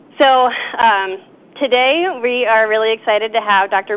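A woman with a normal speaking voice talks in a fairly high pitch with ordinary pitch variation. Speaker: event organizer at a wildlife agency. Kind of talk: lecture introduction. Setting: stage with audience. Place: hall.

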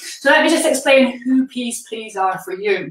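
Audible room echo surrounds a woman whose high-pitched voice varies in pitch in an ordinary way. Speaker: feeding coach. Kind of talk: live presentation to viewers. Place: kitchen. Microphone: camera far.

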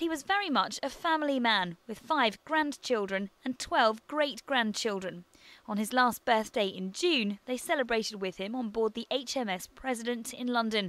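A woman's fairly high voice with lively intonation and a British accent. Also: very clean recording, silent background. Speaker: news reporter. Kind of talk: news reading, scripted TV news report narration. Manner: formal, measured, steady broadcast delivery.

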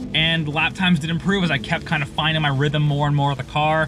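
Talking at a very fast pace with fairly even intonation, a man is heard in a dry sound with no echo over light background noise. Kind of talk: casual vlog chat.

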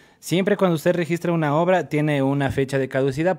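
Very fast speech with lively intonation against a quiet background. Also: man. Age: 20s. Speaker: radio host. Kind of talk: casual chat. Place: studio. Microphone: studio mic.

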